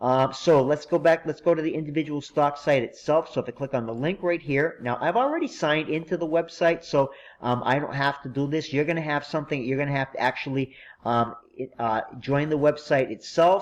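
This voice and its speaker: Here a man speaks with a fairly high pitch and fairly even intonation. His pace is fairly quick. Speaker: instructor. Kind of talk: tutorial. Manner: fast; halting.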